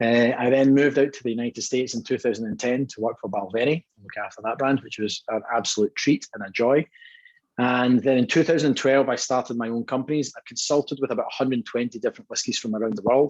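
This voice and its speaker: This man talks very fast with a Scottish accent, at a medium pitch with ordinary pitch variation. His loudness swings widely, and the sound is dry and close with no echo. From Scotland, Dumbarton near Glasgow. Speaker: whisky brand co-owner. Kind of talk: guest talk at online tasting. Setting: video call.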